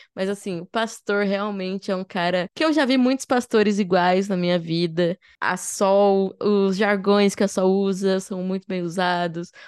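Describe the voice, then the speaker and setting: A woman speaks in a plain, everyday voice at a fairly slow pace and medium pitch, with hardly any pauses and fairly even intonation, recorded dry and close with no echo against a quiet background. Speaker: podcast host. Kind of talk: casual chat. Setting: video call.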